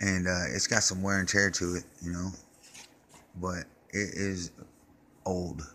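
Over noticeable background noise, a man with a very deep, low pitch speaks slowly in a monotone, flat intonation. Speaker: trash collector and vlogger. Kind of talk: casual show-and-tell vlog. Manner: hesitant, many fillers.

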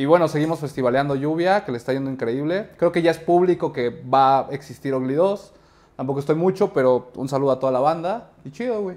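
A man's fairly high voice at a fairly quick pace, ordinary pitch variation and a quiet background. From Mexico City. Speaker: actor and film director; actor. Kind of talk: casual interview. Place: studio. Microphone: lapel.

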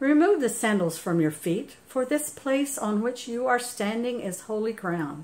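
A woman talks at a moderate pace. Her pitch swings very widely from high to low. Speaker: church scripture reader. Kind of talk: scripture reading. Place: home room. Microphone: phone near.

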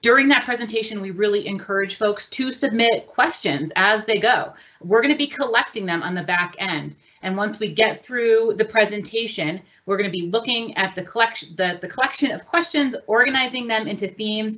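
Her pitch varying in an ordinary way, a woman speaks at a fairly quick pace. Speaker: meeting host. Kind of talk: meeting introduction. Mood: warm, welcoming. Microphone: webcam.

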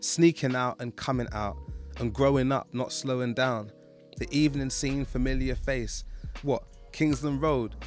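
Fairly slow-paced man's voice with music in the background. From London. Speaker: poet. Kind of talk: spoken word poetry. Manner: rhythmic.

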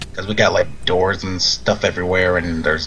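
The pace is very fast as a man speaks. Noticeable noise sits in the background. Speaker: gaming youtuber. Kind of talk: casual gameplay commentary. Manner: animated; fast talker.

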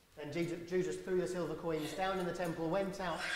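Speech comes at a very fast pace with audible room echo. Loud background noise fills the recording. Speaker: church minister. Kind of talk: sermon with Bible reading. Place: church.

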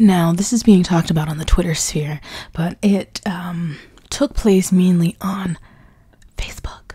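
This woman's fairly slow speech has a dark, mellow tone, a somewhat breathy quality, and ordinary variation in pitch. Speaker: YouTuber, book commentary. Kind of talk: casual vlog commentary.

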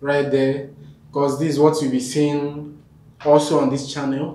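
With audible room echo, a man speaks at a fairly high pitch and a fairly slow pace. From Nigeria. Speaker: YouTube vlogger. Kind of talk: vlog to camera. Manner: halting. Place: home room.

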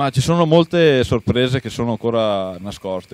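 The man's voice shows ordinary pitch variation in a dry sound with no echo. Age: 30s. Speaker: traveler, explorer; talk show guest. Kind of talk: interview. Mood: enthusiastic, a little secretive. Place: studio. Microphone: handheld.

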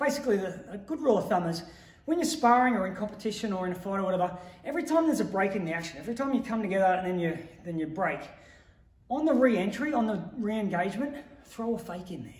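A man with a high pitch speaks very fast amid audible room echo. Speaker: martial arts coach. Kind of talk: tutorial. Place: gym. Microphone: camera far.

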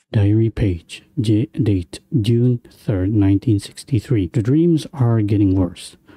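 Very slow and somewhat breathy, a man talks with a fairly low pitch and a dark, mellow tone. His loudness is very even, and the sound is dry and close with no echo. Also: ordinary pitch variation, hardly any pauses. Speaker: gaming video creator. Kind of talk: horror game let's play commentary.

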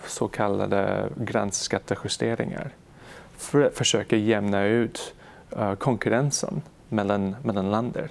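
A man's fairly low voice at a fairly slow pace, with ordinary pitch variation and very even loudness. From Canada, Montreal. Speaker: economist researcher. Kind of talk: interview. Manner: halting, many fillers.

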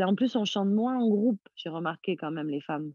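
With lively intonation, an unremarkable speaking voice proceeds at a moderate pace. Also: woman. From Corsica. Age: 30s. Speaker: singer. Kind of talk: interview.

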